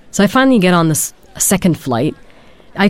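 A woman's voice over noticeable background noise. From Germany. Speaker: PhD student in anthropology. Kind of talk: interview testimony.

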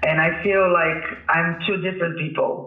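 A man at a high pitch and moderate pace with fairly even intonation, over noticeable background noise. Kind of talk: interview answers, casual talk.

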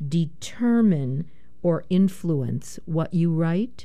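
In a room with audible echo, a woman speaks in a fairly low, dark, mellow voice with ordinary pitch variation. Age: 70s. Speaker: community radio poetry show host. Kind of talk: radio announcement; radio interview.

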